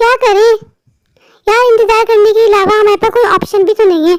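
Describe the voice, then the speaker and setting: A woman's cartoonish character voice at an extremely high pitch, fairly even intonation and very even loudness, fairly quick pace, in a dry, close sound with no echo. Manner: whiny, gossipy.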